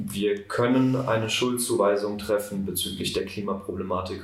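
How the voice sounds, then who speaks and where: The speech moves at a moderate pace in a monotone, flat intonation, with audible room echo. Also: man. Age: 18. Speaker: student climate activist. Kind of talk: interview.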